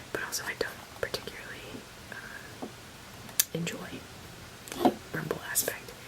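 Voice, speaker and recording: Whispering, a woman leaves long, frequent pauses over noticeable background noise. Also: moderate pace. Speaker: ASMR creator. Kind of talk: ASMR show and tell, casual talk to camera. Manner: soft-spoken, whispery.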